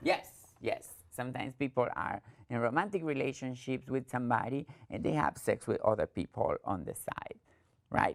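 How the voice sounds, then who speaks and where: A woman with an Argentine accent talks at a fairly quick pace, broken by long, frequent pauses. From Argentina. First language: Spanish. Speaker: trainer. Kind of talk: training presentation.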